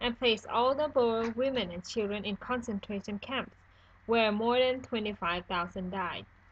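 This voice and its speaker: Someone with a non-native accent speaks at a moderate pace with ordinary pitch variation. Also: woman. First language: not English. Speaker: student. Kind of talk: school history presentation narration.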